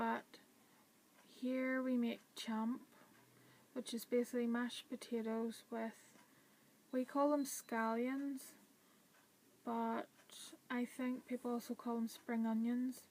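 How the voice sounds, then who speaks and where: With a Northern Irish accent, a woman with a high pitch speaks in a flat monotone at a very slow pace, leaving long, frequent pauses. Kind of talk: casual talk to camera.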